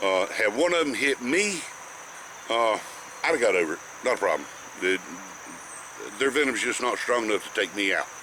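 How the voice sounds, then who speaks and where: Over noticeable background noise, a man with a North Carolina accent speaks at a medium pitch and a fairly quick pace, with very wide pitch swings, very even loudness, and long, frequent pauses. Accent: Southern US (North Carolina). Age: 60s. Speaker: snake educator. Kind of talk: informal tutorial. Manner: halting, frequent fillers.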